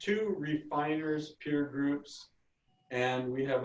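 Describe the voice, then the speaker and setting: This man talks at a very slow pace. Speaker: meeting host. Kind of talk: meeting introduction.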